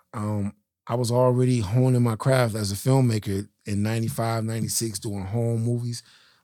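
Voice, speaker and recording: With an American accent, a man speaks at a moderate pace in a dark, mellow tone. His medium pitch stays monotone, with flat intonation. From Miami, Florida (West Perrine). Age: 40s. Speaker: film and music video director. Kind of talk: interview testimony.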